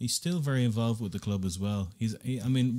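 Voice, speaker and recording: Dark and mellow in tone, a man's voice moves at a fairly quick pace. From Ireland, Dublin. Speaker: football fan podcast host. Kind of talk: casual football chat. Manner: animated.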